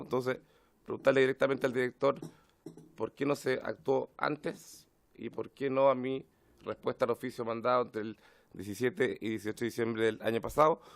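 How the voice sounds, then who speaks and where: Putting on a character voice, a man sounds hoarse at a medium pitch, talking fairly quickly with fairly even intonation. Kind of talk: formal parliamentary.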